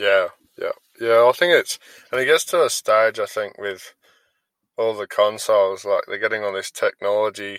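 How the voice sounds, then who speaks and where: With an Australian accent, a man talks at a moderate pace, leaving long, frequent pauses on a very clean recording with a silent background. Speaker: podcast host and gaming team leader. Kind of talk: casual interview.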